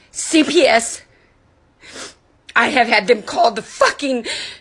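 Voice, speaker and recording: Loud and animated, a woman speaks at a fairly slow pace in a high voice with lively intonation. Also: long, frequent pauses. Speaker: livestreamer and foundation founder. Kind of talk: angry livestream rant. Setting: live video stream.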